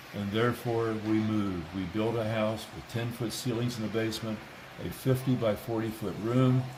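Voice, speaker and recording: A man at a moderate pace with fairly even intonation, audible room echo and noticeable background noise. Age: 80s+. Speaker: model railroad hobbyist. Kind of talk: guided tour.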